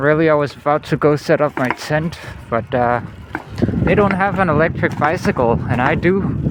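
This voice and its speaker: A man with a fairly high pitch talks at a moderate pace with lively intonation and very even loudness over noticeable background noise. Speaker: nomad travel vlogger. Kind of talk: casual vlog talk. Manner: relaxed, casual.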